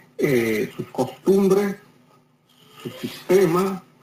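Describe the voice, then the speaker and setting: With lively intonation and a very slow pace, a man talks while noticeable background noise runs underneath. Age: 70s. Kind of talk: interview.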